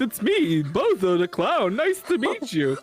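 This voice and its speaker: A man speaks in a put-on character voice at an extremely high pitch. His pace is fairly slow, with light background noise. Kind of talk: silly.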